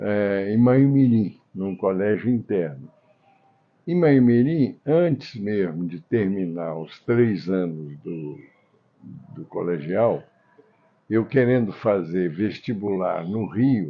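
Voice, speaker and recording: A man's fairly low voice at a very slow pace, with lively intonation, big swings in loudness and long, frequent pauses. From Brazil, Minas Gerais (Tombos). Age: 80s+. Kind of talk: interview.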